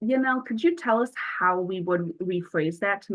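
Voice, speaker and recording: A woman with an American accent at medium pitch, moderate pace and ordinary pitch variation. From Buffalo, New York. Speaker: youth peer advocate trainer. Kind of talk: training workshop.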